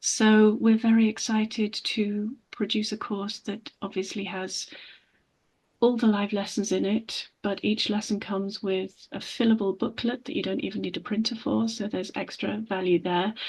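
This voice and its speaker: A woman with a fairly high, somewhat breathy voice speaks at a moderate pace with fairly even intonation against a quiet background. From England. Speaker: English teacher. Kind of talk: interview.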